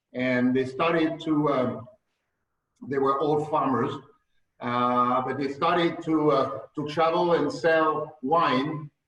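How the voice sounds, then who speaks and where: A man talks at a very slow pace with fairly even intonation, and audible room echo surrounds his voice. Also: fairly high pitch for a man. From France. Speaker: winemaker, estate owner. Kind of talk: interview, wine tasting talk. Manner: halting, many fillers.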